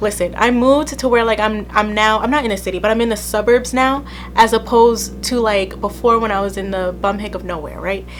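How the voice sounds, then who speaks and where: A woman talking at a fairly quick pace with hardly any pauses, music in the background and audible room echo. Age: 20s. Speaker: podcast host. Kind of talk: casual chat. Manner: casual, chatty.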